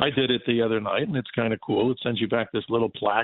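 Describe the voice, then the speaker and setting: Pitched in the middle range, a man talks in a New York accent. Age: 60s. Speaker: veteran radio and TV broadcaster and astronomy educator. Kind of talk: radio call-in interview. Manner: animated.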